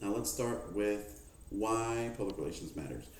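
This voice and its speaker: A dark, mellow, somewhat breathy voice at a fairly quick pace, with audible room echo. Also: man. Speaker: student presenting a mock HR manager briefing. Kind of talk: mock business presentation. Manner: fast.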